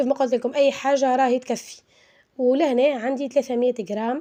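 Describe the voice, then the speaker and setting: A woman with a Tunisian accent speaks at a moderate pace. Her voice is high, with a dark, mellow tone. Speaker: cooking channel host. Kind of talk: cooking tutorial. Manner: halting, many fillers.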